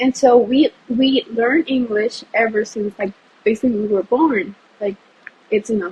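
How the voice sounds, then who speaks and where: A woman speaks in a Spanish accent at a fairly high pitch. Her pace is moderate. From Puerto Rico. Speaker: university student. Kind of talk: casual interview. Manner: frequent 'like' fillers, some stumbles.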